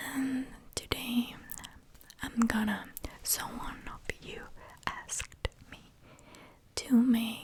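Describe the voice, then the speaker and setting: A woman whispers at a very slow pace, with long, frequent pauses. Her loudness swings widely, and background noise is noticeable. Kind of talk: ASMR show and tell video, soft spoken. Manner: soft-spoken.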